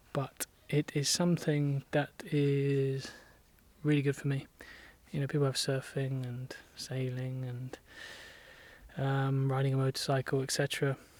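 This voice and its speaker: A man with a fairly high pitch and an English accent, fairly slow and monotone, with long, frequent pauses. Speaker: vlogger doing barn renovation. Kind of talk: casual vlog talk while working.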